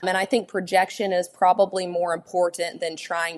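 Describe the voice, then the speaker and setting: In a Texas accent, a woman talks at a medium pitch and a moderate pace. Her intonation stays fairly even. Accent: acquired Texas. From Arizona (Buckeye). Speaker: collegiate livestock judge. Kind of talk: podcast interview.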